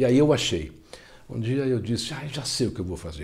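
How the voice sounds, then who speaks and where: Audible room echo around a man's somewhat breathy voice. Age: 60s. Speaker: self-help author. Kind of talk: interview.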